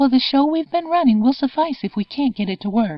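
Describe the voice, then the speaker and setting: Shouting in a put-on character voice, a woman with a high pitch sounds strained, using lively intonation at a fairly quick pace. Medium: read story. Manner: restrained, even, never shouting.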